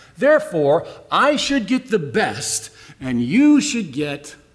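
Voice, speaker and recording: A man's voice with very wide pitch swings. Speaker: pastor giving a sermon. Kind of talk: sermon.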